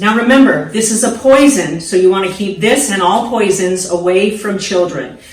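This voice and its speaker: Noticeable background noise sits behind a woman speaking at a moderate pace. Her medium-pitched voice has lively intonation. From San Diego, California. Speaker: hairstylist. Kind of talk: casual talk to camera, DIY tutorial. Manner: upbeat, friendly, coach-like.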